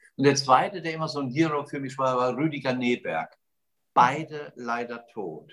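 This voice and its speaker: A man's normal speaking voice, fairly high-pitched, with ordinary pitch variation and a moderate pace. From Germany, Westerwald. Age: 60s. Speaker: radio host, entrepreneur and charity founder. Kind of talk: casual interview.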